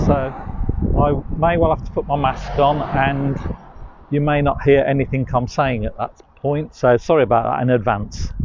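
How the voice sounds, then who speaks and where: A man with a fairly high voice speaks at a fairly slow pace with fairly even intonation. There is noticeable background noise. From West Midlands, England. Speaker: walking tour guide. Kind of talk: live-streamed walking tour. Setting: outdoors on a walk. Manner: casual, hesitant with fillers.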